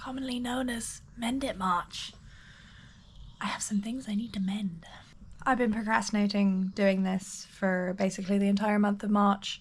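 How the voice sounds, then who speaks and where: Somewhat breathy, a woman's voice holds fairly even intonation. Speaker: knitting vlogger. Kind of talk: casual vlog talk. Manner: hesitant, many fillers.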